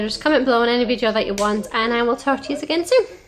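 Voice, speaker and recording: A woman's fairly high voice comes through noticeable background noise. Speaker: vlogger. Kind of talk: casual vlog chat. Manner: rambling, repetitive.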